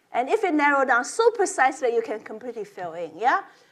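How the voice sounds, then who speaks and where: A woman with a non-native accent speaks at a high pitch, her voice sweeping through very wide pitch swings. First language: not English. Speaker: professor. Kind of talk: lecture. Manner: halting.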